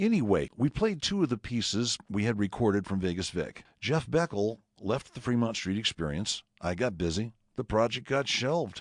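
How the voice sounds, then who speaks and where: A man with a plain, everyday voice, medium pitch, lively intonation, moderate pace, and a dry, close sound with no echo. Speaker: radio personality. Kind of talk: presentation narration.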